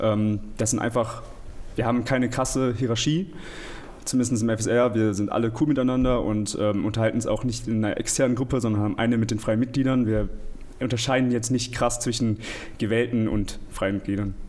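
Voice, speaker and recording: An ordinary speaking voice moves at a fairly quick pace with fairly even intonation. Its loudness stays very even. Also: man, medium pitch for a man. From Germany, Aachen. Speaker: student council member. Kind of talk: casual interview.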